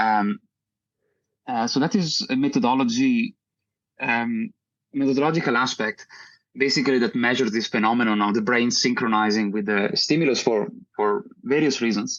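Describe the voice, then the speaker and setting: A man talks at a fairly quick pace, with long, frequent pauses. His loudness stays very even, and his pitch varies in an ordinary way. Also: medium pitch for a man. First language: not English. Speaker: professor and researcher. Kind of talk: interview explaining research. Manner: halting, many fillers.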